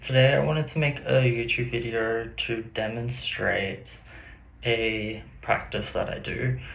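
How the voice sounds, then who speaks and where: In an Australian accent, a man speaks at a fairly slow pace with audible room echo. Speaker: artist and psychic. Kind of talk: personal vlog.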